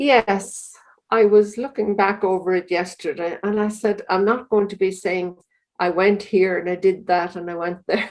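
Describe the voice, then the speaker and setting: With an Irish accent, a woman speaks at a medium pitch with fairly even intonation. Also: moderate pace. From Ireland, County Louth. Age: 70s. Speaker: religious sister. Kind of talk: interview.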